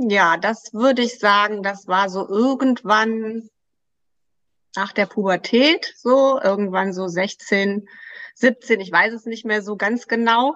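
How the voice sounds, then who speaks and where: A woman's fairly high voice at a very slow pace. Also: ordinary pitch variation. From Germany, Krefeld (Lower Rhine). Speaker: weight loss coach. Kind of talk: interview.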